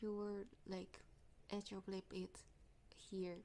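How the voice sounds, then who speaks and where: A woman speaks at a very slow pace. She has a Japanese accent and a medium pitch. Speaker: English learner vlogger. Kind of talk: casual vlog talk. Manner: halting.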